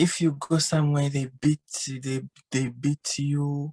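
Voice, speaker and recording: A woman speaks at a fairly slow pace in a very deep, low, somewhat breathy voice with a dark, mellow tone. The sound is dry and close with no echo. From Uganda. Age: 20s. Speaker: refugee sharing her experience. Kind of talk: interview testimony. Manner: halting, simple phrasing.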